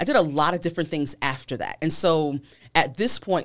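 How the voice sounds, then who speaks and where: A woman with an American accent at a fairly quick pace, fairly even intonation, and a very clean recording with a silent background. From Virginia, US. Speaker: film and TV producer, nonprofit board member. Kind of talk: interview. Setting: studio.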